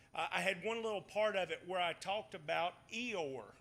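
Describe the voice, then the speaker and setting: Raising and projecting his voice, a man with a Southern accent speaks at a moderate pace in a high pitch, his tone bright and sharp and his pitch variation ordinary. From US South, Batesville, Mississippi. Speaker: Bible study teacher. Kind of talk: Bible study lesson.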